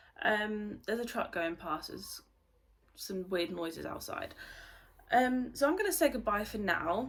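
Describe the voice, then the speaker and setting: A woman with a British accent speaks at a moderate pace with a fairly high pitch and lively intonation, leaving long, frequent pauses. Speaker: beauty vlogger. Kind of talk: casual vlog chat. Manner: hesitant, many filler ums.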